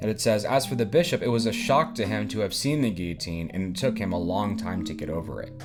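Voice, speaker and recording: Music plays in the background as a man talks at a fairly quick pace and a fairly low pitch. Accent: American. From US South, Nashville, Tennessee. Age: 20s. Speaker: book reviewer. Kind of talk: casual book discussion monologue. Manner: halting.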